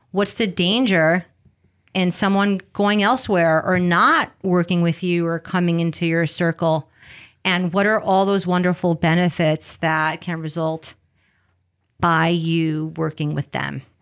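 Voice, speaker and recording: A woman's fairly low voice, slight New York accent, fairly even intonation and fairly slow pace, in a very clean recording with a silent background. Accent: light New York. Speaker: entrepreneur and business coach. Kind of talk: interview.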